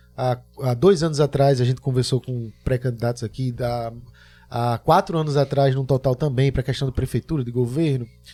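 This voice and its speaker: Speaking at a moderate pace, a man uses a medium pitch and a dark, mellow tone that is somewhat breathy, with fairly even intonation in a dry, close sound with no echo. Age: 30s. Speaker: podcast host. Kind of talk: podcast interview.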